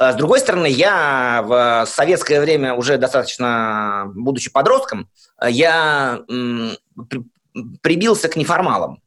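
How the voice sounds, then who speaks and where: Very slow, lively intonation from a man at a medium pitch. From Soviet Union. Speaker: interviewee with psychiatric diagnoses. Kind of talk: interview testimony. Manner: halting, with self-repetitions.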